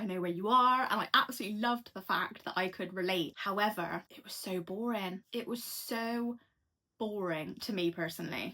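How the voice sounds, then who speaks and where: A woman with a Bristol accent speaks in a bright, sharp tone. Her loudness swings widely while her pitch varies in an ordinary way. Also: medium pitch for a woman, moderate pace. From England, Bristol. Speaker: book reviewer. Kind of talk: casual chat. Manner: casual, chatty.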